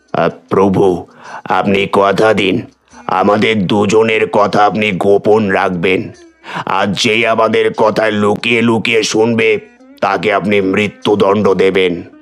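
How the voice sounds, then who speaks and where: In a cartoonish character voice, a man speaks fairly low and fairly slowly. His intonation is monotone and flat. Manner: grave, reverent.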